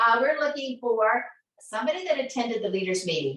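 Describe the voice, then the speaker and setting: A woman's high-pitched voice with an American accent, animated and enthusiastic, with lively intonation and a bright, sharp tone. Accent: slight Southern US, comes out at times. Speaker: sales team leader hosting weekly training show. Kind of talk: live webcast, motivational sales meeting. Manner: animated, enthusiastic.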